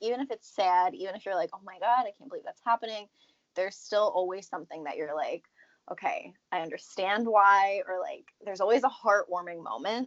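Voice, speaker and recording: In an ordinary speaking voice, a woman talks at a fairly quick pace at a medium pitch, with lively intonation and big swings in loudness. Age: 20s. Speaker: podcast co-host. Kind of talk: casual chat.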